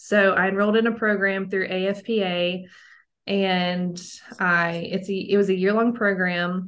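Against a quiet background, a woman speaks fairly slowly at a medium pitch with a monotone, flat intonation. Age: 20s. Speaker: holistic health coach. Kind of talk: casual interview.

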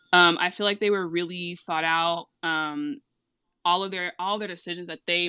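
A woman with a fairly low pitch and a bright, sharp tone speaks at a moderate pace with ordinary pitch variation. The sound is dry and close with no echo, over a quiet background. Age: 20s. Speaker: anime fan guest. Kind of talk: casual chat.

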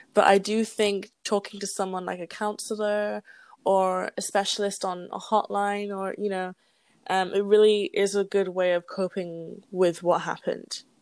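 In a British accent, a woman speaks at medium pitch and moderate pace with monotone, flat intonation over a quiet background. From England. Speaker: podcast co-host. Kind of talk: casual chat between friends.

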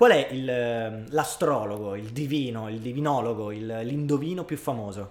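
Speaking at a fairly slow pace with hardly any pauses, a man at medium pitch uses ordinary pitch variation while room echo can be heard. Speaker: podcast co-host. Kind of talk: casual chat.

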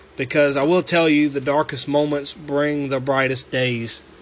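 With a Southern US accent, a man speaks in a fairly high pitch and a monotone, flat intonation. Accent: Southern US (Georgia). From US South, Georgia. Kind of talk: devotional monologue. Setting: alone at home.

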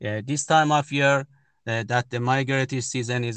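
With a Persian accent, a man talks in fairly even intonation, the sound dry and close with no echo over a quiet background. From Iran. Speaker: birder and photographer. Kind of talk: interview. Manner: halting.

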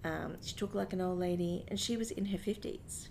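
Woman with an Australian accent, at a medium pitch and moderate pace, her intonation fairly even. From Brisbane, Australia. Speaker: theatre sound technician. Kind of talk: interview.

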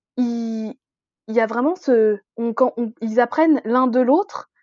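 This woman has a high pitch and ordinary pitch variation. She talks at a fairly slow pace. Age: 20s. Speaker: book blogger. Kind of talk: casual chat.

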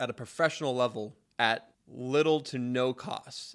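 A man speaks with an American accent at a medium pitch. He has a plain, everyday voice. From Spokane, Washington. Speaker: podcast host. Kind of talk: scripted intro; casual interview.

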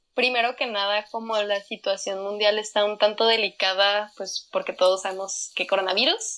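A woman speaks at a moderate pace and medium pitch. Her tone is bright and sharp, her intonation monotone and flat. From northern Mexico, Chihuahua. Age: 20s. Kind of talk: interview conversation.

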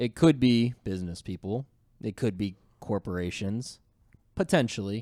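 The recording is very clean, with a silent background, and a man with a northern US accent speaks in a dark, mellow tone. He pauses long and often, with ordinary pitch variation. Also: fairly low pitch for a man, moderate pace, dry, close sound with no echo. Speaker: podcast host. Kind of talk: casual chat. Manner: laughs often.

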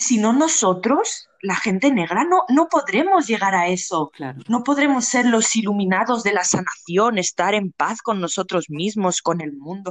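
Speaking at a fairly slow pace with hardly any pauses, a woman uses a medium pitch that swings very widely. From Spain, Barcelona. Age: 20s. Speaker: guest, community organizer. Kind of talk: casual interview conversation.

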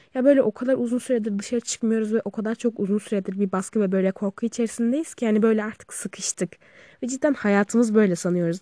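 Recorded dry and close with no echo against a quiet background, a woman with a dark, mellow tone and fairly high pitch speaks at a fairly quick pace with ordinary pitch variation. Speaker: podcaster. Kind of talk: casual monologue. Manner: casual.

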